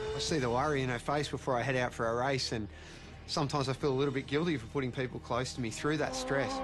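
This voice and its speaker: A man with an Australian accent speaks at a very fast pace, his pitch medium with ordinary variation. Noticeable background noise sits behind him. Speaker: motorcycle racer. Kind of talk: interview.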